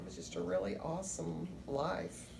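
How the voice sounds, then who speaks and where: A woman's very deep, low voice at a fairly slow pace, with noticeable background noise and audible room echo. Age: 60s. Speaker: interviewee. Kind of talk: interview.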